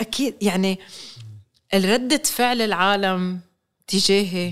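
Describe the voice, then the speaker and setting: A woman speaks with a medium pitch. Her tone is animated. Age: 40s. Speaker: chef. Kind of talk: interview. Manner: code-switching with English.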